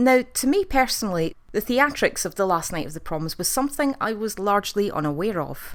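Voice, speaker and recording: A woman with a Scottish accent speaks fairly quickly at a medium pitch, with very wide pitch swings. The recording is very clean, with a silent background. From Scotland. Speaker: TV review youtuber. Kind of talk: video review monologue.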